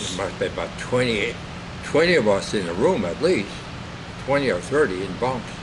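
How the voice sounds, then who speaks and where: Speaking fairly quickly with a Minnesota accent, a man at medium pitch makes very wide pitch swings and long, frequent pauses, amid noticeable background noise and audible room echo. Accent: Upper Midwest (Minnesota). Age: 80s+. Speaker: war veteran, retired farmer. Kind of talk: oral history interview. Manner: halting.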